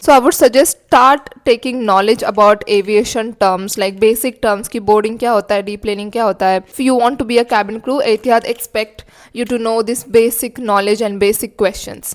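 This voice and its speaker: Spoken with a Marathi accent at a fairly quick pace. The intonation stays fairly even. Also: woman, fairly high pitch for a woman, hardly any pauses. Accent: Indian English, Marathi. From India, Marathi-speaking (Maharashtra). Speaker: cabin crew vlogger. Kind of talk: casual vlog tutorial, Hindi-English mix. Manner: casual, with fillers.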